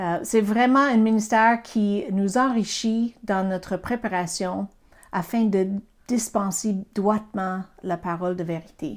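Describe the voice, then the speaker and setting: With an American accent and a medium pitch, a woman speaks at a very slow pace with ordinary pitch variation in a very clean recording with a silent background. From US, Pennsylvania. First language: English (speaking French). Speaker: Bible teacher. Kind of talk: Bible teaching. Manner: halting, with fillers.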